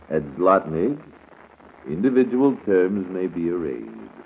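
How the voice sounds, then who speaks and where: Over noticeable background noise, a man with an American accent talks at a fairly slow pace with lively intonation. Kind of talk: 1930s radio morning show host patter and commercial reads. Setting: vintage radio broadcast recording. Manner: brisk announcer delivery, reading ads and time checks.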